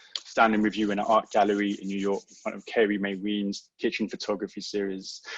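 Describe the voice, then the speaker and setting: The speaker has a London accent and a fairly quick pace. The sound is dry and close, with no echo. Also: man. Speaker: poet. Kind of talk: poetry reading. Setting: online livestream event.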